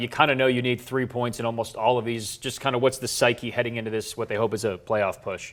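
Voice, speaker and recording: In a plain, everyday voice, a man talks at a fairly quick pace and a medium pitch. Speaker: sports anchor and reporter. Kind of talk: TV sports anchor delivery, casual upbeat banter.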